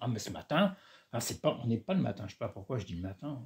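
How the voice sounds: Using a hoarse, put-on character voice, a man rattles along at a very fast pace and medium pitch with very wide pitch swings.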